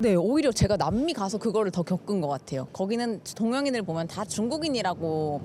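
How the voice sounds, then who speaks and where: The voice runs at a fairly quick pace with hardly any pauses and very wide pitch swings, over noticeable background noise. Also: woman, medium pitch for a woman. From South Korea. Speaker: content creator. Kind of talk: street interview answer.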